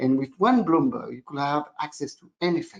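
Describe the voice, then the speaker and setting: A man speaks with a strong French accent at a fairly high pitch. His pace is moderate and his intonation lively. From Belgium. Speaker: real estate analytics company founder. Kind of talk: interview. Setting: video call.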